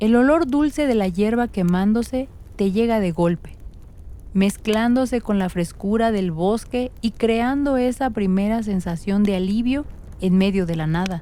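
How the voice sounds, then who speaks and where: A soft-spoken woman speaks at a fairly slow pace with a dark, mellow tone. Her pitch is fairly high, with ordinary pitch variation. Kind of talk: sleep story. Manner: soft-spoken, slow.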